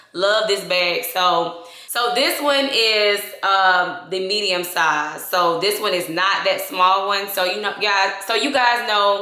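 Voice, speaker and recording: A woman with a Southern US accent talks at a fairly slow pace in a medium pitch, her pitch varying in an ordinary way and her tone animated. The room echo is audible, and there is noticeable background noise. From US South, Georgia. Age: 20s. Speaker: beauty and fashion vlogger. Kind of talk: casual vlog unboxing. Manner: chatty, animated.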